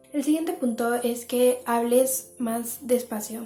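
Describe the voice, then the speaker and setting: There's noticeable background noise as a woman with a fairly high voice speaks with fairly even intonation. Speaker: lifestyle YouTuber. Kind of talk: advice monologue to camera. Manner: fast.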